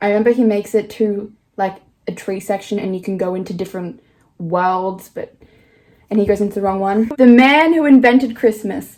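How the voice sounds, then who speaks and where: A woman with an Australian accent, medium pitch and ordinary pitch variation, at a fairly quick pace. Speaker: vlogger. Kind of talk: casual vlog.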